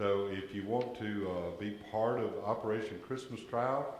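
Room echo is audible, along with light background noise. A man with a fairly low pitch speaks in fairly even intonation. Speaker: lay worship leader. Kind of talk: church announcements and prayer. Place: church. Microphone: camera far.

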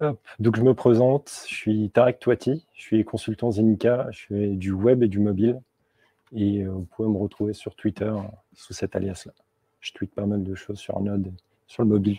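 Over a quiet background, a man speaks somewhat breathily at a fairly low pitch with a dark, mellow tone, fairly even intonation and a moderate pace, in a dry sound with no echo. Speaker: software developer; conference speaker. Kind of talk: tech talk. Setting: stage with audience. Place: meeting room.

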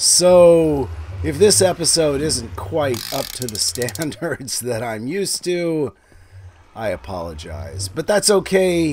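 Over noticeable background noise, a man talks at a very slow pace with very wide pitch swings. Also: fairly high pitch for a man. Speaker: gaming YouTuber. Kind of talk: gameplay commentary.

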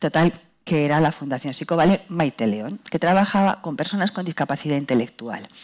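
A woman speaks at a fairly quick pace with a very deep, low pitch and lively intonation over a quiet background. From Spain, Madrid. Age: 60s. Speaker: dance company director. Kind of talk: panel talk. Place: hall. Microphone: headset.

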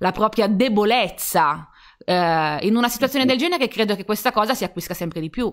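This woman has an ordinary speaking voice with lively intonation and a fairly quick pace. The recording is very clean, the background silent. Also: fairly high pitch for a woman. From Turin, northern Italy. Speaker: publisher, live stream co-host. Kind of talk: live stream interview. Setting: live stream from home.

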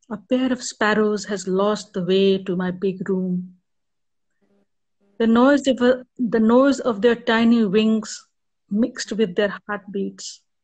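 Somewhat breathy speech moves at a very slow pace over a quiet background. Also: woman, fairly high pitch for a woman, fairly even intonation. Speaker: poet. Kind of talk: poetry reading. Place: home room. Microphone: video call.

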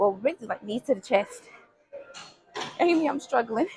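A woman's high voice at a fairly quick pace, over faint music in the background. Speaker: fitness vlogger. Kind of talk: casual workout vlog narration. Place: gym. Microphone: lapel.

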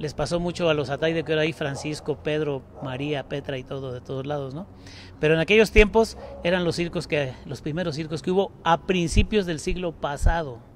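A man talks at a fairly quick pace in a fairly high pitch with ordinary pitch variation. The sound is dry with no echo, over light background noise. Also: big swings in loudness. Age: 60s. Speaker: circus owner. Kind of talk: live interview. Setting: inside a circus tent. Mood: nostalgic storytelling. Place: tent. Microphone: handheld.

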